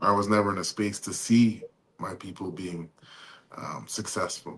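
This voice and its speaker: A man with an ordinary speaking voice talks at fairly low pitch and a moderate pace. His intonation stays fairly even while his loudness swings widely. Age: 40s. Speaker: podcast host. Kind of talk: podcast interview.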